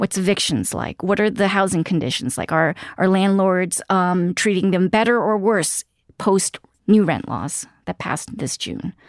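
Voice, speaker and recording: Recorded very cleanly against a silent background, a woman talks at a moderate pace in an unremarkable speaking voice, her medium pitch showing ordinary variation. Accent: American. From New York City, Queens. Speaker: news editor and real estate journalist. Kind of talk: interview conversation.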